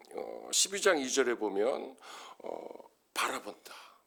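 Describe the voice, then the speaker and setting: Over a silent background in a very clean recording, a man speaks very slowly with vocal fry and a bright, sharp tone. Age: 60s. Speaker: pastor. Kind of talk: sermon.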